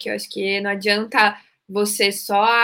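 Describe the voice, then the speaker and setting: Her voice is fairly high-pitched with a bright, sharp tone as the woman speaks. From Curitiba, southern Brazil. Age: 30s. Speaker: leadership speaker and company founder. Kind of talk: interview.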